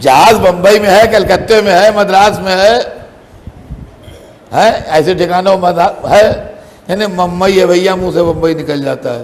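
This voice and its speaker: Against noticeable background noise, a man speaks at high pitch with ordinary pitch variation. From Lucknow, India. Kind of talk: religious sermon (majlis) delivered to a live audience. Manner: conversational, chatty with humorous asides to the audience.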